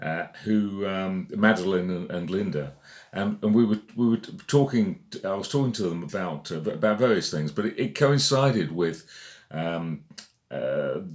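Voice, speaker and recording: A man with a British accent talks with lively intonation. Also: fairly low pitch for a man, moderate pace. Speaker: magazine editor. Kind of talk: casual monologue. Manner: halting, many fillers.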